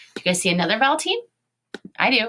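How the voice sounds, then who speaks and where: Dry and close with no echo, the sound captures a woman speaking with a Chicago accent. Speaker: elementary school teacher. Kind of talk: online lesson for young children.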